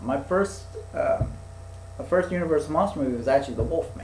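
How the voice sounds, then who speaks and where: Over noticeable background noise, a man with a fairly high pitch swings very widely up and down. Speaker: podcast host. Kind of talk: casual chat. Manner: stuttering; halting.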